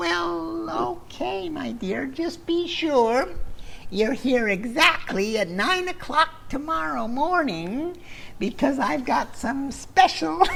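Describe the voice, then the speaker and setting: Using a put-on character voice at an extremely high pitch, a man talks at a very slow pace over clear background noise. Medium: read story. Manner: falsely sweet, coaxing, keeps saying my dear.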